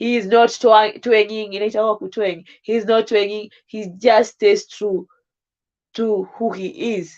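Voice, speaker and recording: Speaking with a Kenyan accent, a woman has a fairly high pitch. She goes at a very slow pace over a quiet background. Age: 20s. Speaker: live streamer. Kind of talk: casual livestream chat.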